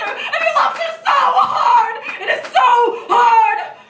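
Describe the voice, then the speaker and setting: Her voice is raised and projected. The speaker is a woman. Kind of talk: poetry reading.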